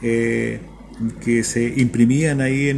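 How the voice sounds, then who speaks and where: A man's voice with fairly even intonation. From central Chile (Talca). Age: 60s. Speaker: university rector. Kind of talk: radio interview. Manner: halting, many fillers and repetitions.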